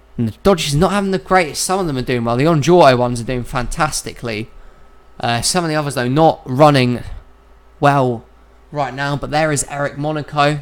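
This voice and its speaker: A man with a fairly high voice talks at a fairly quick pace with ordinary pitch variation. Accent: British. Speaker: sim racing league commentator. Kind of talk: live commentary. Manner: casual, somewhat halting.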